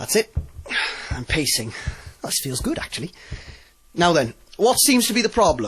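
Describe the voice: A man puts on a character voice at a fairly high pitch, with big pitch swings and a husky, rough edge. His tone is fairly bright and his pace moderate.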